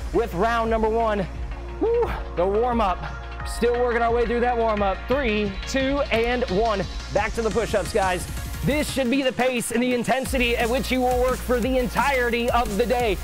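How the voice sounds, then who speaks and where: Clear music plays in the background. The speaker talks at a moderate pace. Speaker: fitness coach. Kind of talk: workout coaching calls. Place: gym.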